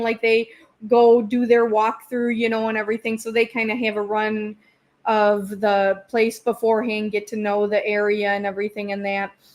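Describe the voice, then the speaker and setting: A woman speaks with a Wisconsin accent at a fairly high pitch. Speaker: psychic medium. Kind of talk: interview.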